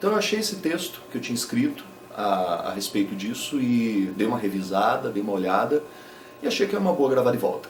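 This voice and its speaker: Very fast speech with lively intonation amid noticeable background noise. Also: man. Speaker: YouTuber and rock musician. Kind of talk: casual talk to camera.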